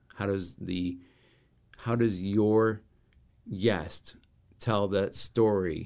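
A man with an American accent speaks at a fairly low pitch. His pace is very slow, with long, frequent pauses. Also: fairly even intonation. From Rockford, Illinois, US Midwest. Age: 40s. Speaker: branding and marketing consultant. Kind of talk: casual interview.

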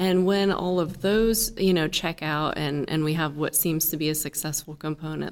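A woman with an American accent has an unremarkable speaking voice, fairly low in pitch, with fairly even intonation at a moderate pace. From Indiana, US Midwest. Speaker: engineer, chief scientist. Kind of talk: interview.

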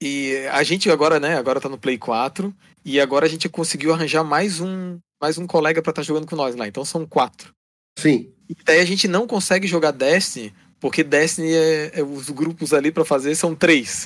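Here a man has an unremarkable speaking voice, pitched fairly high with ordinary pitch variation. He talks at a moderate pace. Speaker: gamer, co-host helper. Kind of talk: casual chat. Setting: online call.

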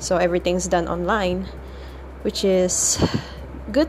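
Noticeable background noise sits behind a woman who speaks at a fairly slow pace. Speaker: podcaster. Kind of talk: casual monologue. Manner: hesitant, many fillers.

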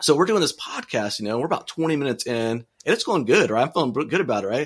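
A man races along at a very fast pace in an American accent. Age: 40s. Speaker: city manager and podcaster. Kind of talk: casual interview chat.

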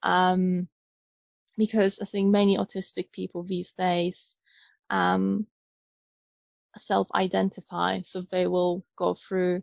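A woman speaks with a Polish accent. Her pace is fairly slow. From Poland. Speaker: neurodiversity trainer and coach. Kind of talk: interview. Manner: hesitant, many fillers.

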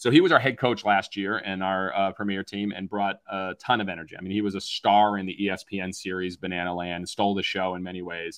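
With an American accent, a man talks very fast, hardly pausing, against a quiet background. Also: fairly low pitch for a man. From Massachusetts. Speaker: baseball team owner. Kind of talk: interview. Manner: animated.

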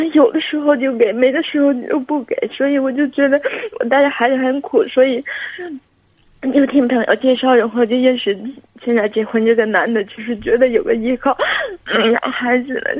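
A high-pitched woman's voice at a moderate pace, with ordinary pitch variation and long, frequent pauses. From Guangxi, China. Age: 20s. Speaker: caller. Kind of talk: phone-in advice call. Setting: phone call. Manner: halting. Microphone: too quiet.

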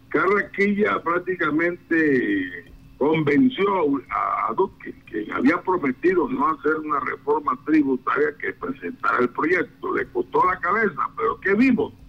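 Noticeable background noise runs under a man's fairly slow speech. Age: 60s. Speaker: constitutional lawyer and political analyst. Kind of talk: news radio interview.

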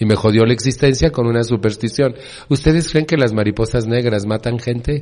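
A man talks at a fairly quick pace with a medium pitch. His tone is dark and mellow, with ordinary pitch variation. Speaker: support group speaker. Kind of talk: recovery talk to a meeting.

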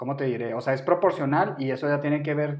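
Pitched fairly high, a man speaks at a very fast pace with fairly even intonation. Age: 30s. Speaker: podcast co-host. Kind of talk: casual chat.

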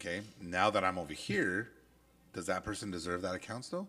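The voice is loud. It moves at a moderate pace. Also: man. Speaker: podcast co-host, industrial supply branch manager. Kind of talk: casual chat.

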